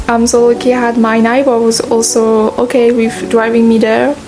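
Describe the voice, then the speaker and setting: There is noticeable background noise as a woman with a fairly high pitch speaks at a moderate pace. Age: young. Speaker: artist. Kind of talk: casual talk to camera.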